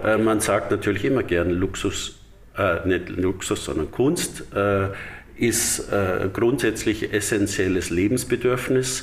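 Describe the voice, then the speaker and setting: Audible room echo around a man speaking at a fairly slow pace. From Bavaria, Dachau. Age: 60s. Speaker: artist and association chairman. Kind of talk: interview. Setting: library in exhibition hall.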